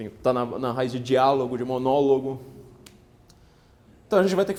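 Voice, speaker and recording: A man's dark, mellow tone with lively intonation. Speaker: political writer and lecturer. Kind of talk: lecture. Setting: parish hall with live audience. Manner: fast.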